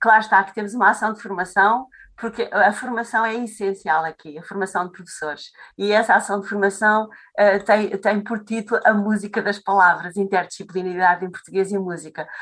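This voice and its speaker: A woman talks fairly quickly at a medium pitch with fairly even intonation. Her loudness swings widely. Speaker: Portuguese language teacher. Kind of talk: interview conversation. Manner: halting.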